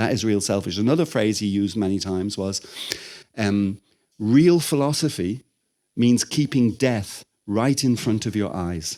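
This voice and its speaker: A man with a fairly low pitch and a dark, mellow tone speaks with lively intonation. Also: moderate pace. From Ireland. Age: 60s. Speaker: spiritual teacher. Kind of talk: lecture. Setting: temple room with audience. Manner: conversational.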